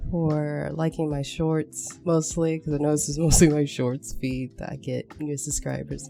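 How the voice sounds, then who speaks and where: Someone mumbles at a fairly slow pace while music plays in the background. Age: 20s. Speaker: artist. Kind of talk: casual talk to camera. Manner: mumbling.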